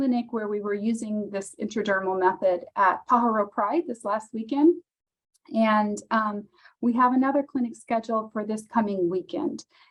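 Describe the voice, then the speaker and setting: A woman with a fairly high, somewhat breathy voice talks at a moderate pace, her pitch varying in an ordinary way. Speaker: county public health official. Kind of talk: webinar presentation. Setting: video call.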